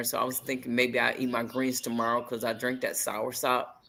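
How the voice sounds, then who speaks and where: A man's bright, sharp voice at medium pitch, in a monotone, flat intonation at a moderate pace. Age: 60s. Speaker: crochet group member. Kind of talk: casual chat.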